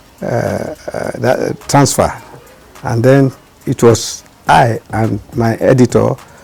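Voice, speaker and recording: A man's very slow speech plays out against noticeable background noise. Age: 80s+. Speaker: veteran journalist. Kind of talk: interview answer. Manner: slow, hesitant with fillers.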